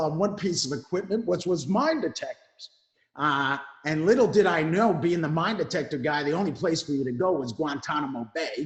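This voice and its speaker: Using a New York accent, a man speaks at a moderate pace in a high pitch with ordinary pitch variation. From New York (Brooklyn). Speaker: Marine veteran, veteran mentoring executive. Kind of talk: interview.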